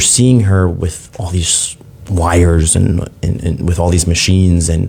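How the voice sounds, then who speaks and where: Over noticeable background noise, a man talks at a fairly slow pace with a very deep, low pitch. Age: 30s. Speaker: father sharing his story. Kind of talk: interview testimony. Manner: halting, many fillers.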